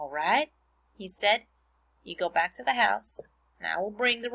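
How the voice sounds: Lively intonation colors a natural reading voice.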